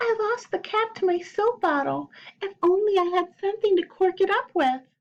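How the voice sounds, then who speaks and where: A woman's put-on character voice, squeaky and extremely high in pitch. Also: moderate pace. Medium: read story.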